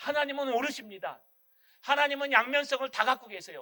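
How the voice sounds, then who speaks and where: In a strong Gyeongsang accent, a man speaks fairly quickly in a raised, projected voice that is extremely high in pitch, with a bright, sharp, animated tone. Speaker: pastor. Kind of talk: sermon. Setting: church.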